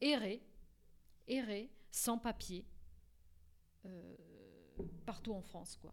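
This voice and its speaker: With a Portuguese accent, a woman speaks at a very slow pace in a fairly high pitch. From Portugal. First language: Portuguese (speaking French). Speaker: court interpreter and translator. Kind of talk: radio interview. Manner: halting, many repetitions.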